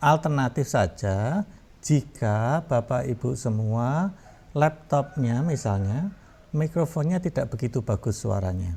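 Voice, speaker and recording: A somewhat breathy man's voice, very slow in pace, with lively intonation. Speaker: university lecturer. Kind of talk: tutorial. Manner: hesitant fillers.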